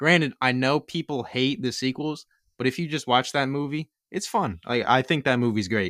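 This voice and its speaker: With a Philadelphia accent, a man speaks at a medium pitch and moderate pace, with ordinary pitch variation and a dry, close sound with no echo. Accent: Delco (Philadelphia area). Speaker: podcast co-host. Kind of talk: casual chat.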